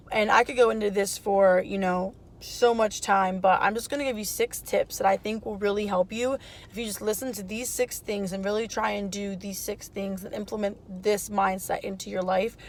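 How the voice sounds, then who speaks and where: A woman with an unremarkable speaking voice talks at medium pitch and a moderate pace, her intonation fairly even but her loudness swinging widely. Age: 20s. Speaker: lifestyle vlogger, mom and student. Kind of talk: casual vlog talk to camera. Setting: in a car. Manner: casual with many fillers.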